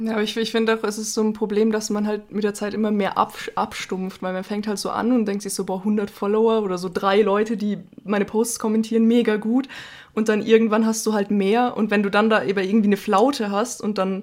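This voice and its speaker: A woman's fairly high, monotone voice with flat intonation and a very fast pace, in a very clean recording with a silent background. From Bavaria. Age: 20. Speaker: podcast co-host. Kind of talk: casual chat.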